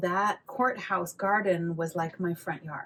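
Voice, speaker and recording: A woman with an American accent talks at a moderate pace and medium pitch. Noticeable background noise runs underneath. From California. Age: 60s. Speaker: flamenco dancer and teacher. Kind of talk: interview conversation.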